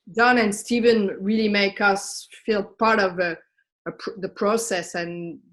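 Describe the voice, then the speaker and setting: At a fairly slow pace, a woman with a medium pitch speaks against a quiet background. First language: French. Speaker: camera operator. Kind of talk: casual chat. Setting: video call.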